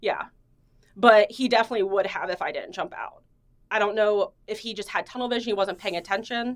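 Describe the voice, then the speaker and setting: At a fairly quick pace, a woman talks in a fairly high voice with fairly even intonation. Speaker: police detective. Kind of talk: internal affairs interview. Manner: loud.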